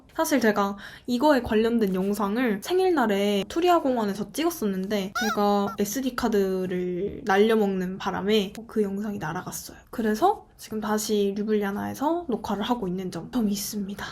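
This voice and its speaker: A woman's unremarkable speaking voice, medium in pitch, at a moderate pace with hardly any pauses. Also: ordinary pitch variation. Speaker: exchange student vlogger. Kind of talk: casual vlog monologue.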